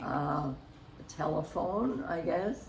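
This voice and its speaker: A woman speaking at a very slow pace, with noticeable background noise. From Canada. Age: 80s+. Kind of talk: interview answer.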